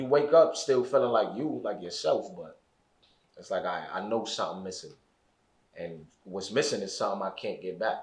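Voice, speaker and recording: In a room with audible echo, a man speaks at a moderate pace with big swings in loudness. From Brooklyn, New York (East New York). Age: 20s. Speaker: formerly incarcerated guest. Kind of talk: podcast interview. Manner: halting, repeats words.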